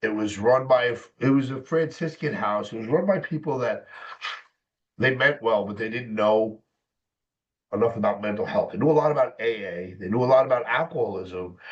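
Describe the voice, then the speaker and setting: A man with an American accent at a medium pitch, fairly quick pace and lively intonation, an unremarkable speaking voice against a quiet background. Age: 50s. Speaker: mental health specialist and author. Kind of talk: personal testimony in interview.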